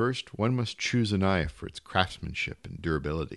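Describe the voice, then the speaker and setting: An ordinary speaking voice from a man, fairly low in pitch with ordinary pitch variation, at a moderate pace over a quiet background. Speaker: audiobook reader. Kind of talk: literary audiobook reading of a short story. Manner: measured, polished literary narration.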